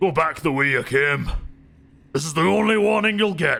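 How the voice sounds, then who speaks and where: A put-on character voice, guttural and raised to project, moves at a moderate pace with lively intonation. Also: man, fairly high pitch for a man. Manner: warning, threatening.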